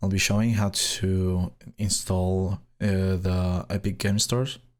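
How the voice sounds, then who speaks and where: Speaking very slowly in a Spanish accent, a man uses a fairly low pitch and fairly even intonation on a very clean recording with a silent background. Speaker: gaming tech youtuber. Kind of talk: tutorial. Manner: hesitant, many fillers.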